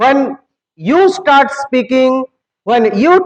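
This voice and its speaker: A man with an Indian accent speaks at a very slow pace and an extremely high pitch, the sound dry and close with no echo. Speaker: English teacher. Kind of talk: motivational speech. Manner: animated.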